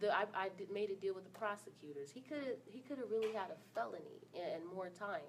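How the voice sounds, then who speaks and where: Talking at a very fast pace with hardly any pauses, a woman keeps a medium pitch and lively intonation. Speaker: domestic violence survivor and speaker. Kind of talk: testimony. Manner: loud.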